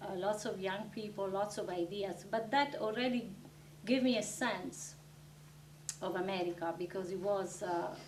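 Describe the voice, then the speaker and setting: Amid audible room echo and noticeable background noise, a woman with an Italian accent speaks at a moderate pace and medium pitch with ordinary pitch variation. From Italy. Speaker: interviewee, immigrant mathematician. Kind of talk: interview. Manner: hesitant with fillers.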